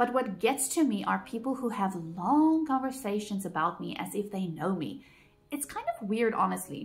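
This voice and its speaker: A fairly high-pitched woman's voice at a moderate pace, with very wide pitch swings and noticeable background noise. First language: Afrikaans. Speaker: vlogger. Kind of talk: personal vlog monologue.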